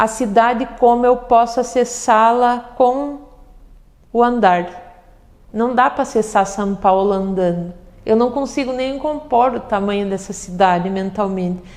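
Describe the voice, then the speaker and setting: A woman's fairly high voice with ordinary pitch variation, at a fairly slow pace. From southern Brazil, Passo Fundo, Rio Grande do Sul. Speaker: poet. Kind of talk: interview conversation. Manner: reflective, hesitant with repetitions.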